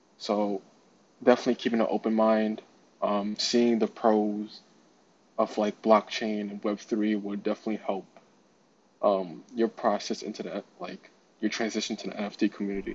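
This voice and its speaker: With a New York accent, a man of fairly low pitch speaks at a moderate pace in a monotone, flat intonation. He leaves long, frequent pauses. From New York City (Brooklyn). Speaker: NFT community moderator. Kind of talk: casual interview.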